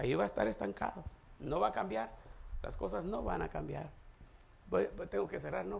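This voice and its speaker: There is audible room echo as the man talks at a moderate pace. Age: 60s. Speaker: pastor. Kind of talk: sermon.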